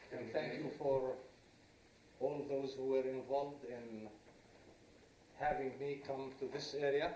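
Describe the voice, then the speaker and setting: A man pauses long and often as he talks, with noticeable background noise and audible room echo in the recording. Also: fairly high pitch for a man, fairly even intonation, fairly slow pace. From Israel, Druze village. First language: Arabic. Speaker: former politician, lecturer. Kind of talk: lecture. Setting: lecture hall with audience, no microphone. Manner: loud.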